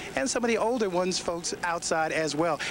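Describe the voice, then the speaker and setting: Upbeat and fairly quick, a man speaks at a high pitch with ordinary pitch variation. Noticeable background noise runs underneath. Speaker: broadcast meteorologist. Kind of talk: TV weather forecast broadcast. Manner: upbeat, friendly, conversational.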